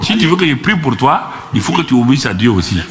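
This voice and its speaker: A man speaks at a moderate pace. The room echo is audible, and there is noticeable background noise. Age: 70s. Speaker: pastor. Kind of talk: sermon. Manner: animated.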